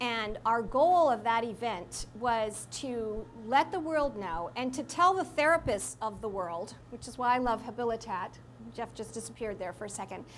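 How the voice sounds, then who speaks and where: Speaking at a moderate pace, a woman with a fairly high pitch has an unremarkable speaking voice and lively intonation. Her loudness swings widely. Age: 60s. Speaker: speaker sharing her recovery story. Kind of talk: talk to an audience. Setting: live audience in a room. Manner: conversational with fillers.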